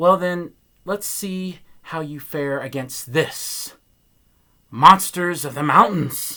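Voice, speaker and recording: A man puts on a character voice, raised and projected, with a fairly high pitch. He goes very slowly, leaving long, frequent pauses. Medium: read story. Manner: grand, imperious.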